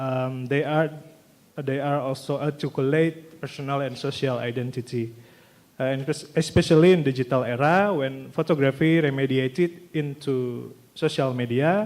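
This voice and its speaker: A man with an Indonesian accent, fairly high-pitched, at a moderate pace with fairly even intonation. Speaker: graduate student presenter. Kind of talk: conference presentation. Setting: stage with audience. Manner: halting, reading from notes.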